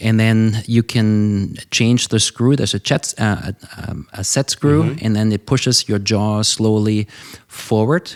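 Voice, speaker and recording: Speaking at a fairly slow pace, a man with a German accent has a fairly low pitch. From Germany. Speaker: ENT surgeon. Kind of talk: interview answer. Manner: energetic.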